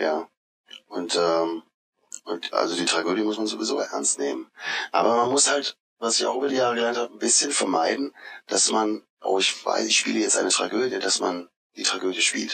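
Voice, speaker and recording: A man speaks at a moderate pace with very even loudness. He leaves long, frequent pauses. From southern Hesse, Odenwald. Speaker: stage actor. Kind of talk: interview. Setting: outdoors.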